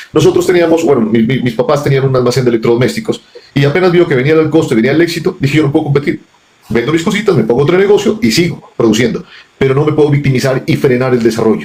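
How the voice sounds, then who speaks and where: Noticeable background noise sits under a man with a fairly high pitch who speaks at a very fast pace in an animated tone with very even loudness. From Colombia, Pasto (Nariño). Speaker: businessman. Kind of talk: interview conversation. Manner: animated, repetitive stammering.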